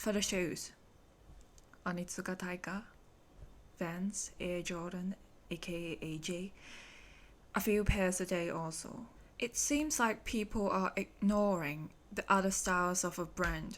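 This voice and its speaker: Speaking at a fairly slow pace with long, frequent pauses, a woman with a Hong Kong accent uses a medium pitch and ordinary pitch variation. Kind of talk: podcast monologue.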